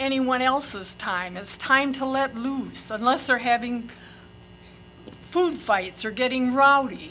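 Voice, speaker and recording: A woman speaks in a raised, projected voice at a high pitch with ordinary pitch variation, at a very slow pace and with audible room echo. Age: 80s+. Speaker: public commenter, retired librarian. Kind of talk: public comment. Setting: podium at public meeting.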